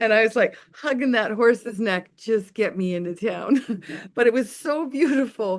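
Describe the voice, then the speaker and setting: A woman speaks in a normal speaking voice at a fairly slow pace with lively intonation. The background is quiet. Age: 60s. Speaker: webinar presenter, farm community member. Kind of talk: casual webinar chat, storytelling.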